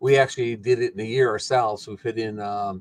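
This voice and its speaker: Speaking at a moderate pace, a man has a medium pitch and a normal speaking voice. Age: 60s. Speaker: retired farmer and rancher. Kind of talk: casual chat.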